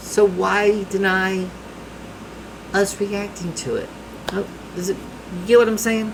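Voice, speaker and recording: A man with a strong Southern US accent and a high pitch talks at a fairly slow pace in a monotone, flat intonation, with long, frequent pauses and noticeable background noise. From US South. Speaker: music reaction youtuber. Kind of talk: casual reaction commentary.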